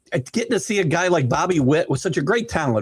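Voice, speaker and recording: A man talks very fast in an animated tone. His intonation is lively. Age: 60s. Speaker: sports podcast co-host, former baseball coach. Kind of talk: casual sports chat.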